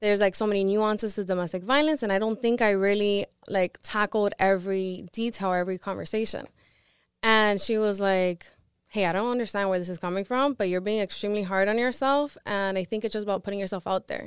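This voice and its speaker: A woman talks at a fairly quick pace in a plain, everyday voice at medium pitch with fairly even intonation, on a very clean recording with a silent background and a dry, close sound with no echo. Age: 20s. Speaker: domestic violence victim advocate. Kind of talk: casual interview.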